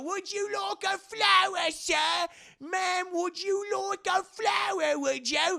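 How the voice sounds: Pitched extremely high, this put-on character voice moves at a fairly slow pace.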